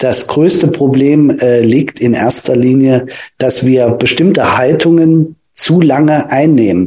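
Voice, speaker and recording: A man's fairly high voice at a very slow pace, with very even loudness and ordinary pitch variation. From Germany, Thuringia (Nordhausen). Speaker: physiotherapist. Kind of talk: casual interview. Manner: halting, many fillers.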